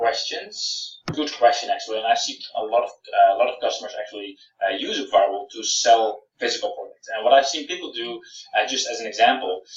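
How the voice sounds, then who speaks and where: A man with a Dutch accent speaks at a fairly quick pace, his loudness swinging widely, in a room with audible echo. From Netherlands. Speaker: software founder; presenter. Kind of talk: Q&A webinar. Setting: live webinar. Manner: halting, many fillers. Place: home room. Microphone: webcam.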